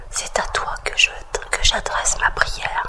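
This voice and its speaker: Someone whispers in a calm tone. Background noise is noticeable. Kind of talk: whispered scripture reading for relaxation. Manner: whispered, slow, calm.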